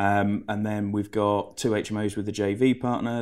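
This man has an English accent and a fairly low pitch. His intonation is monotone and flat, in a very clean recording with a silent background. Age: 20s. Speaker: property finance broker. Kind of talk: interview.

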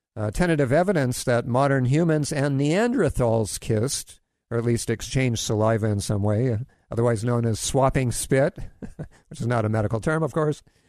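Against a quiet background, a man speaks in an unremarkable speaking voice. He keeps a medium pitch with ordinary variation at a moderate pace. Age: 60s. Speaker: health radio host. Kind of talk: radio talk show. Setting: studio. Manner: jokey, laughs often.

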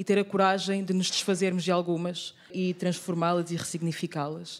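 Here a woman speaks with a fairly low pitch. Her intonation is monotone and flat. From Angola. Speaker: actress and theatre maker. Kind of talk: panel discussion. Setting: live recording in theatre bookshop.

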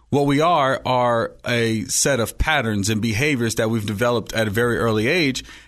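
A man with an American accent talks in a plain, everyday voice at a medium pitch, with ordinary pitch variation, hardly any pauses and a quiet background. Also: moderate pace. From Oakland, California. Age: young. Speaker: life coach. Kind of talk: interview. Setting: studio.

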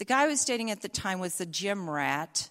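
A woman with a slight Southern US accent and a medium pitch talks fairly quickly with lively intonation, in a very clean recording with a silent background. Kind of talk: live storytelling. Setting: stage with audience.

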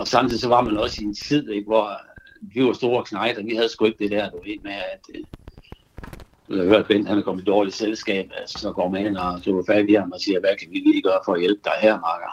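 Loudness in this man's voice rises and falls sharply. He talks at a fairly quick pace. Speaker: childhood friend. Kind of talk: phone conversation. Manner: halting.

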